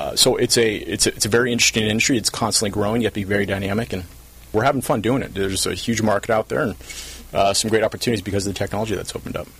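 Noticeable background noise sits under a man speaking at a very fast pace. His pitch is fairly low, with ordinary pitch variation. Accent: American. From Southern California, South Orange County. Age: 30s. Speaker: company CEO. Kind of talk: interview.

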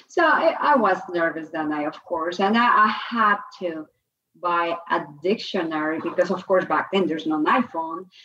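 A woman speaks at a fairly low pitch and a moderate pace. Her tone is bright and sharp, with ordinary pitch variation.

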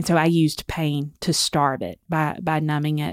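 Her very deep, low pitch stays monotone and flat as this woman speaks with a Southern US accent. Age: 40s. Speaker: author and speaker. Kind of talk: personal testimony in interview.

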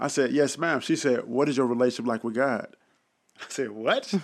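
On a very clean recording with a silent background, a man with a plain, everyday voice and an American accent talks at a fairly quick pace. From Dallas, Texas (Oak Cliff). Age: young. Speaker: pastor and entrepreneur. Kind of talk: casual interview conversation.

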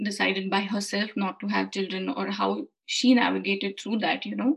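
A somewhat breathy female voice. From India. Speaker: freelance content writer. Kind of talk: casual interview.

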